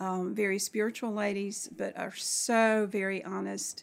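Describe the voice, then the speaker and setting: A woman's medium-pitched voice at a very slow pace, in a very clean recording with a silent background. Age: 60s. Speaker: retired middle school English teacher. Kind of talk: casual interview. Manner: halting.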